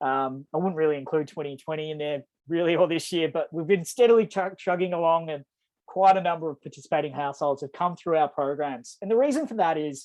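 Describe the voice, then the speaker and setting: With an Australian accent, a man speaks very fast at a fairly high pitch with ordinary pitch variation. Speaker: energy program presenter. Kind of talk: webinar presentation.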